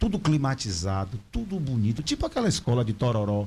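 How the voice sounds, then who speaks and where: The very clean recording, with its silent background, captures a man whose somewhat breathy voice has a dark, mellow tone. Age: 50s. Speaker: local political representative. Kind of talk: interview.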